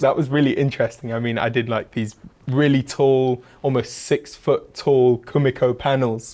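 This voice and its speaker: A man with an English accent, medium-pitched and flat in a monotone, at a moderate pace. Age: 20s. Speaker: woodworker and furniture maker. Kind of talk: interview.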